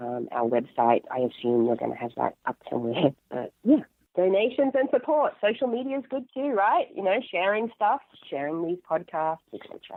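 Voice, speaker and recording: At a moderate pace, a woman speaks with very wide pitch swings. Her loudness also swings widely. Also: medium pitch for a woman. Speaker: political candidate. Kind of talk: interview.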